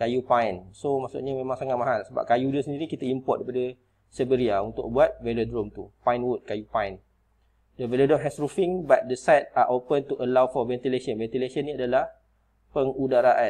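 Fairly quick and fairly even in intonation, a man speaks at a medium pitch. His tone is dark and mellow, and the background is quiet. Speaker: teacher. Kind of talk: tutorial.

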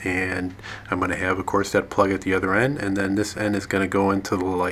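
Light background noise sits behind a man's voice. He speaks fairly quickly at a fairly low pitch. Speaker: hobbyist tractor owner. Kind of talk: tutorial. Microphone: phone near.

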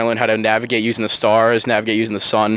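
A man at a very fast pace, in a dry sound with no echo. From Long Island, New York; New York. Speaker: college football player and ROTC student. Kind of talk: interview. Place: waterside. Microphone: handheld.

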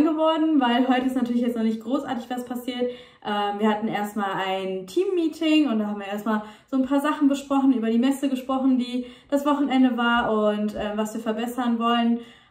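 Over audible room echo, a woman talks fairly quickly in a high voice with ordinary pitch variation. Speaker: vlogger. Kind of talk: casual vlog chat. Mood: cheerful, a bit hurried. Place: home room. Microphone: phone near.

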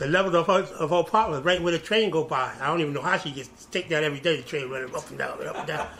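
A man's high voice at a very fast pace, with ordinary pitch variation, hardly any pauses, and light background noise. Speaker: interviewee. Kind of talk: interview answer. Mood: animated, laughing storytelling. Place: office.

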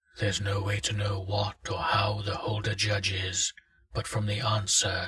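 A natural voice, reading aloud.

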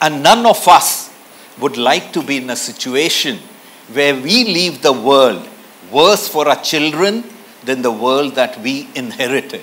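With lively intonation, a man speaks at a fairly slow pace. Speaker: keynote speaker. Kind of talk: speech. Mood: earnest, serious. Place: hall. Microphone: lapel.

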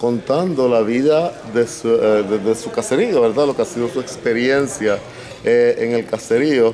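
Over light background noise, a man talks at a moderate pace with ordinary pitch variation. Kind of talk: interview answer. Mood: calm, earnest. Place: hall.

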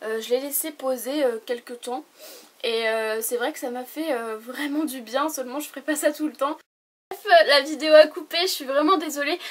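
A woman speaks in a high pitch at a fairly slow pace with ordinary pitch variation. Her loudness swings widely, and she takes long, frequent pauses. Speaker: beauty YouTuber. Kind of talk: product review vlog. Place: home room. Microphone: camera far.

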